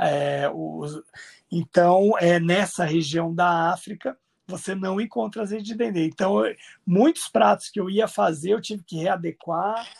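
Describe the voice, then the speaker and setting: On a very clean recording with a silent background and a dry, close sound with no echo, a man with a high pitch speaks in lively intonation. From Brazil, Mato Grosso do Sul (Campo Grande). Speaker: chef and food researcher. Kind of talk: podcast interview. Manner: hesitant, many fillers.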